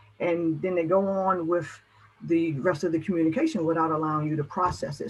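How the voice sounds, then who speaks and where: Her fairly low voice moves at a fairly quick pace with ordinary pitch variation. Noticeable background noise accompanies this woman. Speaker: motivational speaker on caregiving. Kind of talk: presentation. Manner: animated.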